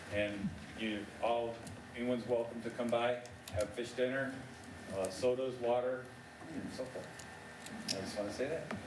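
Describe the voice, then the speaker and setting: Over noticeable background noise and audible room echo, a man at medium pitch talks with fairly even intonation and long, frequent pauses. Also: moderate pace. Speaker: veterans' post commander. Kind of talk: public comment. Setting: township board meeting. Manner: loud.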